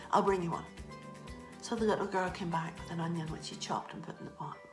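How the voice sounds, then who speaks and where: With music in the background, a woman speaks in a Northern Irish accent. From Northern Ireland. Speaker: storyteller. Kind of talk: children's storytelling.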